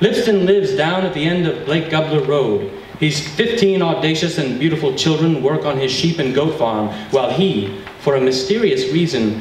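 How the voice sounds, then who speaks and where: Moderate pace, light background noise and audible room echo. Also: man. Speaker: event host giving an introduction. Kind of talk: humorous prepared reading. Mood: playful, mock-dramatic. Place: hall. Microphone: camera far.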